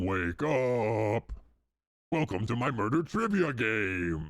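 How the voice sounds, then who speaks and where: Using a put-on character voice, a man speaks at a very slow pace and a medium pitch. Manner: creepy; theatrical.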